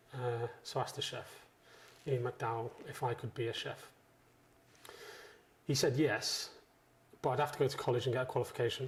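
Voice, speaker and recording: Somewhat breathy and medium in pitch, a man talks at a fairly quick pace in a monotone, flat intonation, broken by long, frequent pauses. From northwest England, Chester. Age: 40s. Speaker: chef. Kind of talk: interview. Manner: casual.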